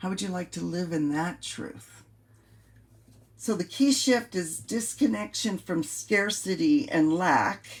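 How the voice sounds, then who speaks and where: A somewhat breathy woman with an American accent, medium pitch, very wide pitch swings and a fairly slow pace. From US West Coast, San Francisco Bay Area. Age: 60s. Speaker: life coach. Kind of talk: motivational coaching monologue. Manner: casual, repetitive with hesitations.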